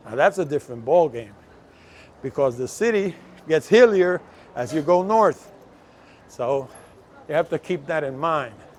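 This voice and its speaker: In a Puerto Rican accent, a man speaks at a moderate pace and a fairly high pitch. His intonation is lively, with long, frequent pauses. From Puerto Rico. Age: 70s. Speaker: travel vlogger. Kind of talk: casual walking vlog. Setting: outdoors.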